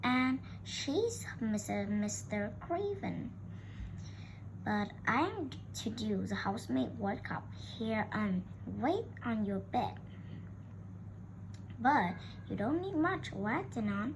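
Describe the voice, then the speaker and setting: A put-on character voice at a very slow pace, with long, frequent pauses over loud background noise. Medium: read story. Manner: talkative, homely.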